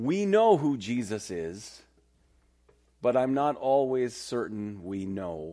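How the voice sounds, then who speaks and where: A man talks with very wide swings in pitch. The room echo is audible. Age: 50s. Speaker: pastor. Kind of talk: sermon. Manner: casual, conversational.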